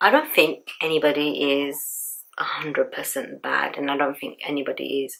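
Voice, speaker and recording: A woman speaking at a moderate pace. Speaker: beauty vlogger. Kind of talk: casual chat while doing makeup.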